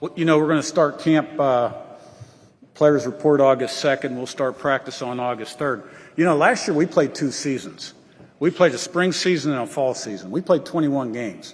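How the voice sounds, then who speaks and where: A man with an ordinary speaking voice, fairly high in pitch, with ordinary pitch variation and a moderate pace. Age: 60s. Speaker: college football head coach. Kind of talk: press conference Q&A. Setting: media day podium with audience.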